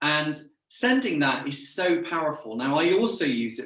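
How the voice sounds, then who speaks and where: A man with an English accent, fairly high in pitch, with a bright, sharp tone, lively intonation, a moderate pace and audible room echo. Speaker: sales trainer and business owner. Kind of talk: interview chat. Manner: camp; energetic.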